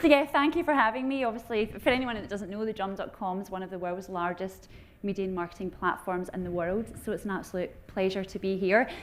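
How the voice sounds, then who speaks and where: Talking very fast with a Scottish accent, a woman keeps her pitch in the medium range. Her intonation is lively, and her loudness swings widely. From Scotland. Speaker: media company managing director, co-host. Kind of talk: conference stage banter.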